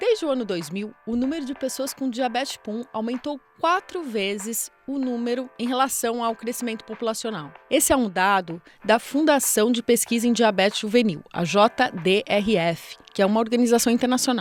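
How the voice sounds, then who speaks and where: Over music in the background, the speech has lively intonation and hardly any pauses. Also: woman, fairly high pitch for a woman, moderate pace. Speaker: podcast host. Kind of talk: podcast intro narration.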